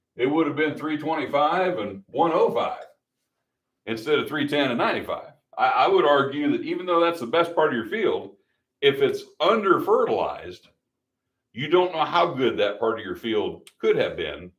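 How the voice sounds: Medium in pitch and fairly bright in tone, a man speaks at a moderate pace with big pitch swings.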